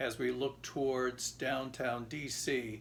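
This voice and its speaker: A man's voice sits at a medium pitch. It has vocal fry. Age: 70s. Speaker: grandfather interviewed for school project. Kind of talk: interview testimony.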